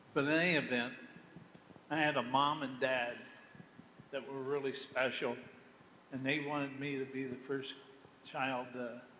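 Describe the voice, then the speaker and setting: A man with an American accent at a medium pitch and a moderate pace, monotone and flat, with long, frequent pauses, audible room echo and noticeable background noise. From Wayne County, Ohio, US (rural farm). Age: old. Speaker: former football player. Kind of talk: panel talk to students. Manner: halting.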